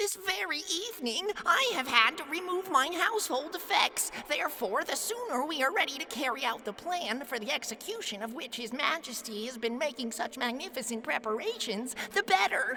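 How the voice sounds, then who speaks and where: Medium-paced delivery in a put-on character voice over plainly audible background noise. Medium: read story. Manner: formal, deferential, long-winded.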